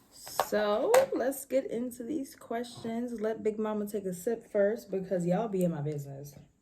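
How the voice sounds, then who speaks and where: With an American accent, a woman speaks at a fairly high pitch. Background noise is noticeable. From New York City, Harlem. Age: 20s. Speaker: vlogger. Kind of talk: casual chat.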